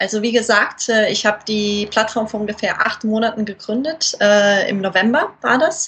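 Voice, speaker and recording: A woman with a plain, everyday voice, fairly high in pitch, at a moderate pace with hardly any pauses and ordinary pitch variation. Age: 20s. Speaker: model, cosplayer and platform founder. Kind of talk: casual interview.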